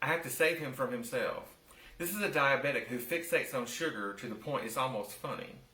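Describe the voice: Lively intonation marks this plain reading aloud.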